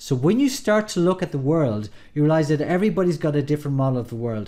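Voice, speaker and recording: A man with an Irish accent, fairly high in pitch with a dark, mellow tone, lively intonation and a very fast pace, on a very clean recording with a silent background. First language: Irish Gaelic. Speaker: NLP coach. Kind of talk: tutorial. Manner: casual, some hesitations.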